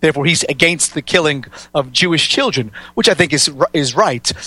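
With an American accent, a man talks at a fairly quick pace in a bright, sharp tone and a fairly high pitch, the sound dry and close with no echo. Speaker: researcher and political activist. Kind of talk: radio interview.

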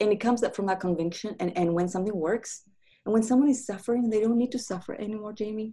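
Talking at a very fast pace, a woman with a dark, mellow tone sounds somewhat breathy, with ordinary pitch variation on a very clean recording with a silent background. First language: not English. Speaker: grief counselor and author. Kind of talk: interview conversation.

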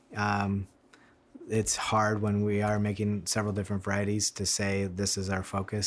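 Moderate pace and monotone, flat intonation, with an American accent. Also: man. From US Midwest, Michigan. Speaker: winemaker. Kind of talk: interview. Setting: at the winery in person.

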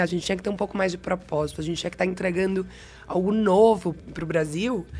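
A woman's medium-pitched voice in a Bahian accent, with ordinary pitch variation. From Bahia, Brazil. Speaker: marketing head. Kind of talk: interview conversation.

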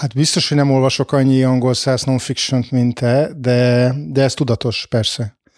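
With a plain, everyday voice, a man speaks at a medium pitch and a fairly slow pace, keeping very even loudness and fairly even intonation. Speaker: historian. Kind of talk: interview.

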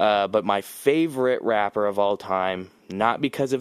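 Captured on a very clean recording with a silent background and a dry, close sound with no echo, a man uses an unremarkable speaking voice at fairly low pitch with ordinary pitch variation. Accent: American. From Las Vegas, US. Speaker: podcast host. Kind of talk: casual chat.

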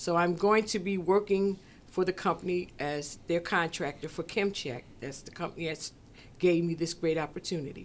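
A woman with a normal speaking voice, fairly low in pitch, at a moderate pace with fairly even intonation. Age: 60s. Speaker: business owner. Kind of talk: casual chat.

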